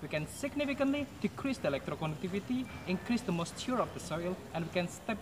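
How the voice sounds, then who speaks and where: A man's very fast speech in an Indonesian accent, with very wide pitch swings and noticeable background noise. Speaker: agrotechnology student. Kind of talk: prepared pitch. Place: garden. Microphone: camera far.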